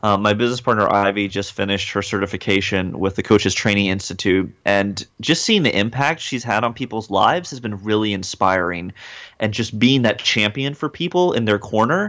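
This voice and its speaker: Speaking with an American accent, a man has an unremarkable speaking voice with fairly low pitch and ordinary pitch variation. His pace is moderate, and the recording is very clean with a silent background. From rural North Carolina. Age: young. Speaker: motivational speaker and rapper. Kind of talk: interview.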